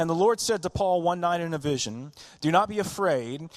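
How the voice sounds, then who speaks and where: Speaking at a moderate pace in a Southern US accent, the voice carries lively intonation against a quiet background. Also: man. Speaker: pastor. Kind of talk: sermon. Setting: church.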